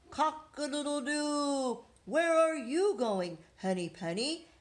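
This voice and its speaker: Putting on a character voice, a woman talks at a high pitch and a fairly slow pace. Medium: read story.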